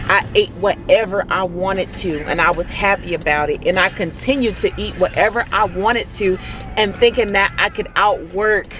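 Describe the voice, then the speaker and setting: With music in the background, a woman sounds animated as she speaks at a fairly slow pace, her pitch medium with ordinary variation. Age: 30s. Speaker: fitness vlogger and mother. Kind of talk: motivational vlog talk. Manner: gets louder when passionate.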